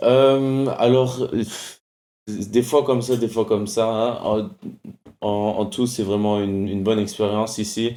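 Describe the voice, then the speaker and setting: Speaking fairly slowly with long, frequent pauses, a man with a slight German accent uses a medium pitch, a dark, mellow tone and fairly even intonation on a very clean recording with a silent background. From Germany (Munich). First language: German (speaking French). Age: 20s. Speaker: college soccer player. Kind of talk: casual interview. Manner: halting.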